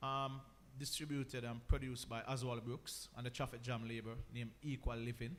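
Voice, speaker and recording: A man talks at a fairly quick pace and medium pitch. His intonation is monotone and flat. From Jamaica (Mandeville, Manchester). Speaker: reggae artist. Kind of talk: radio interview. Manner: casual.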